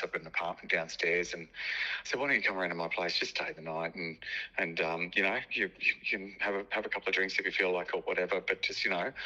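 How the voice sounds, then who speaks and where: Speaking in an Australian accent, a man talks at a very fast pace. His pitch is fairly low. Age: 50s. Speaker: entrepreneur. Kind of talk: interview. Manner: halting.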